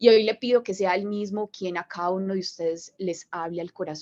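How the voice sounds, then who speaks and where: With a strong Colombian paisa accent, a woman speaks at a medium pitch and a moderate pace. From Colombia, Medellín (paisa). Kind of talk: religious talk to a group.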